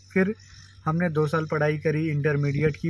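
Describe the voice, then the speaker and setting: Over light background noise, a somewhat breathy man with a fairly high voice speaks at a fairly slow pace with fairly even intonation in a dry sound with no echo. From India, Bihar (Darbhanga district); Bihar. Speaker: vlogger, electrical engineer; vlogger. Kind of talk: casual vlog monologue. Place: car. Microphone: phone near.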